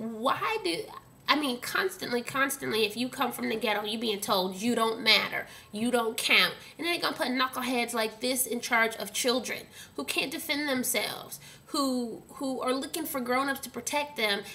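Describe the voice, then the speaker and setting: A woman with an American accent speaks at a moderate pace in a high voice with ordinary pitch variation, over noticeable background noise. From Dallas, Texas (Oak Cliff). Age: 30s. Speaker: vlogger. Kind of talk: angry rant to camera. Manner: animated.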